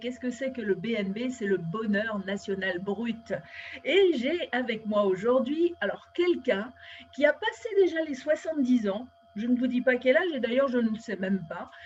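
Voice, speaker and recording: With lively intonation and a high pitch, a woman talks at a moderate pace over noticeable background noise. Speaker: interviewer, show host. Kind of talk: interview host talk.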